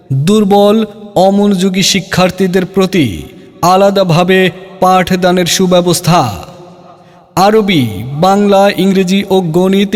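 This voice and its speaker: There is noticeable background noise. The intonation stays fairly even. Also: man. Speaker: madrasa admission announcer (miking advertisement). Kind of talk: loudspeaker-style admission advertisement read.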